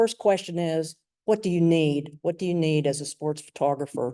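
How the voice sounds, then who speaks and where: Against a quiet background, a woman with a North Carolina accent speaks at a fairly low pitch in a dark, mellow tone. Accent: Southern US, North Carolina. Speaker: lawyer and sports photographer. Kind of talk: presentation.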